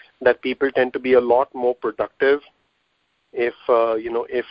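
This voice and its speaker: A man with an Indian accent, medium pitch, moderate pace. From Mumbai, India. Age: 30s. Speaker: physical therapist and business owner. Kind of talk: casual interview.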